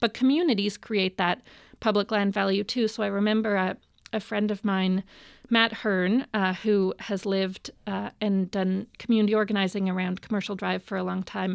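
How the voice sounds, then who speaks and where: A woman speaks with a western Canadian accent at a medium pitch and a moderate pace, her intonation monotone and flat. The recording is very clean with a silent background, and the sound is dry and close with no echo. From Vancouver, Canada. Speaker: city council candidate and minister. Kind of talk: interview.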